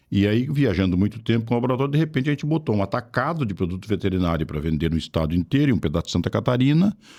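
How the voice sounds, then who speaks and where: On a very clean recording with a silent background, a man talks at a very fast pace with hardly any pauses. His medium-pitched voice has a dark, mellow tone and very wide pitch swings. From southern Brazil, Rio Grande do Sul coast (Osório). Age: 70s. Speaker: politician. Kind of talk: podcast interview. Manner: casual, conversational.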